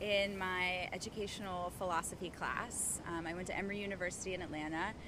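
This woman's voice has a bright, sharp tone. Audible room echo surrounds it. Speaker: yoga instructor and Montessori teacher. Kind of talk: casual interview. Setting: outdoors in a park.

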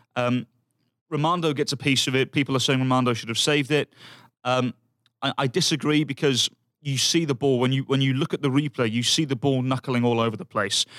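A man speaks with a British accent and fairly even intonation. The recording is very clean and silent behind him, with a dry, close sound and no echo. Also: medium pitch for a man, fairly quick pace. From United Kingdom. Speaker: football pundit. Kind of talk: casual chat.

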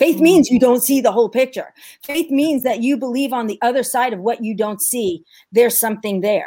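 A woman with a New York accent speaks at a fairly quick pace in a high voice with a dark, mellow tone and ordinary pitch variation. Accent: New York American. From New York, US. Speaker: ministry founder and mother. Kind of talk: casual interview conversation.

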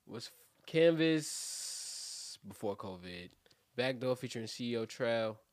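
Very slow speech with a New York accent, lively intonation and big swings in loudness. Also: man, medium pitch for a man. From Brooklyn, New York. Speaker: rapper. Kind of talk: casual chat.

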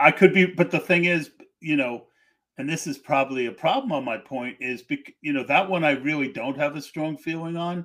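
A man with an American accent has an unremarkable speaking voice at a fairly high pitch and ordinary pitch variation. He talks at a fairly quick pace on a very clean recording with a silent background. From Pennsylvania. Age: 60s. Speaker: podcast host. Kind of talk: casual chat.

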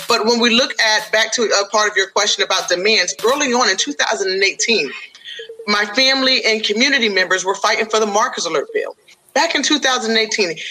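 A woman speaks at a moderate pace in a fairly high voice, with ordinary pitch variation. Her loudness stays very even, and there is noticeable background noise. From upstate New York. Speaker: political candidate and educator. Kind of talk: interview. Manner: halting, many fillers.

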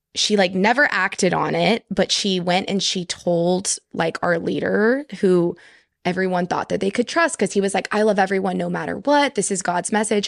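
Vocal fry runs through a woman's medium-pitched voice as she talks at a moderate pace with ordinary pitch variation. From Texas, Houston. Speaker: podcast guest. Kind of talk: casual chat.

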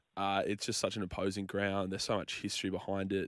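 This man has a fairly low pitch and an Australian accent. His intonation stays monotone and flat. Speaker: sports radio co-host. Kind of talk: casual chat.

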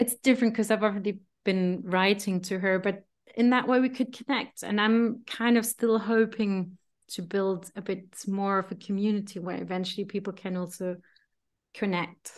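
A woman speaks at a medium pitch with an unremarkable speaking voice. Her intonation is fairly even, and the background is quiet. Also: moderate pace. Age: 40s. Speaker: voice-over artist and former journalist. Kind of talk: casual chat.

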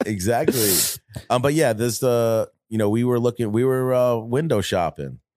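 On a very clean recording with a silent background, a man with an American accent speaks in a dark, mellow tone at a very even loudness. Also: medium pitch for a man, ordinary pitch variation, moderate pace. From Long Island, New York. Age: 40s. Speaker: designer and entrepreneur. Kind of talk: casual chat.

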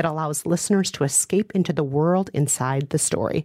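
A plain, everyday voice from a woman, lively in intonation and moderate in pace, in a very clean recording with a silent background and a dry, close sound with no echo. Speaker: podcast co-host and author. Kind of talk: casual interview chat.

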